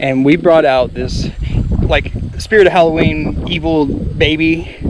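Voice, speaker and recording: Speaking fairly slowly in an American accent, the man is heard against noticeable noise in the background. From Cherokee Nation, Oklahoma. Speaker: Native storyteller. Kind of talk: casual talk to camera while biking. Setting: outdoors, windy.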